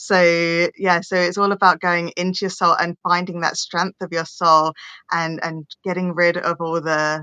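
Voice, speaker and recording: A woman with a bright, sharp tone and monotone, flat intonation speaks at a fairly slow pace, in a dry, close sound with no echo against a quiet background. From England. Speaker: holistic healer and spiritual coach. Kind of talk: podcast interview.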